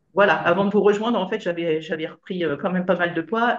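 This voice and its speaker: This woman's voice sits fairly low in pitch and moves with ordinary variation. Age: 60s. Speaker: retired nurse, coaching client. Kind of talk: interview testimony. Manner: hesitant, many fillers.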